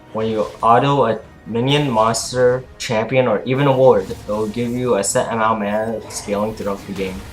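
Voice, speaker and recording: Music plays in the background as a man talks at a moderate pace. His medium-pitched voice keeps a fairly even intonation. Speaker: gamer. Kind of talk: game tutorial narration. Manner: stuttering.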